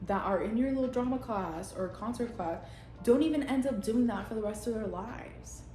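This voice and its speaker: Music plays in the background as a woman speaks at a moderate pace in an animated tone. Echo from the room is audible. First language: Spanish. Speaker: vlogger. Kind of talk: casual monologue vlog. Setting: at home on couch.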